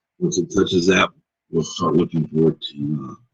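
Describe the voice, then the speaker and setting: A man speaks in a very deep, low voice with vocal fry. His intonation stays monotone and flat. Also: dry, close sound with no echo. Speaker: trading room host. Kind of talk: live trading commentary. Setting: live stream. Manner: casual, filler-heavy.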